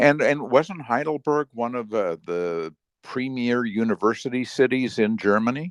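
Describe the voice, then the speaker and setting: Using a plain, everyday voice, a man with a medium pitch talks at a moderate pace with lively intonation. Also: dry, close sound with no echo. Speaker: podcast host. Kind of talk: interview question.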